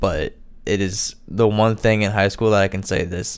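In a very clean recording with a silent background, a man with an American accent speaks at a moderate pace, his fairly low pitch held in fairly even intonation. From Indiana. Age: 20s. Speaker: podcast host. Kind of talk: casual monologue. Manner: hesitant, filler-heavy.

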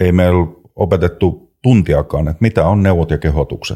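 With ordinary pitch variation, a man speaks in a very deep, low voice with a dark, mellow tone. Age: 50s. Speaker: trainer in conflict and violence prevention, former police officer. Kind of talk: casual chat.

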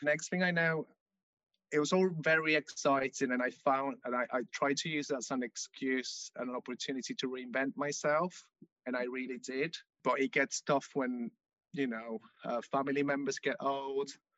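A man with a Spanish accent speaks at a moderate pace in a fairly high pitch, with ordinary pitch variation. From Venezuela. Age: 20s. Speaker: Venezuelan immigrant. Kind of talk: interview.

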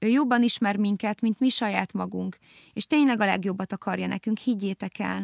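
A woman speaks at a moderate pace in a dry, close recording with no echo, very clean with a silent background. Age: 30s. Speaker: podcast host. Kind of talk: casual chat. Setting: studio.

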